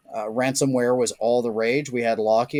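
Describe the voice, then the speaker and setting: Man with an American accent, medium pitch and monotone, flat intonation, in a dry, close sound with no echo on a very clean recording with a silent background. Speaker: social engineering and security consultant. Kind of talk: podcast interview.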